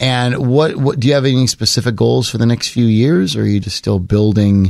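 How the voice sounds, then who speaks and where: In a very clean recording with a silent background, a man with a plain, everyday voice speaks with ordinary pitch variation. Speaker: podcast host. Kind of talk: casual interview.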